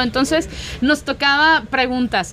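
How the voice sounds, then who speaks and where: Noticeable background noise sits behind a woman's voice. She speaks at a high pitch and a moderate pace. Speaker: radio host. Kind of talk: casual chat.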